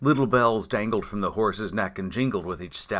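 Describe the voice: The speaker reads aloud in a plain way with ordinary pitch variation.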